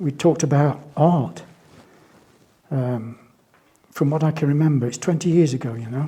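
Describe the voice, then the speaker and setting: A man with a West Country accent speaks at a moderate pace in a dark, mellow, somewhat breathy tone, with ordinary pitch variation and long, frequent pauses. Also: fairly high pitch for a man. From England, Bristol. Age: 70s. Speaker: artist. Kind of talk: interview testimony. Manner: halting, hesitant.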